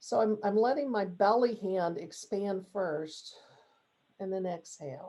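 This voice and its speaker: In an American accent, a woman with a dark, mellow tone speaks at a fairly slow pace with ordinary pitch variation. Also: medium pitch for a woman. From Texas. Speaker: coach and workshop leader. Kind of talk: workshop talk with guided breathing. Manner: calm, guiding.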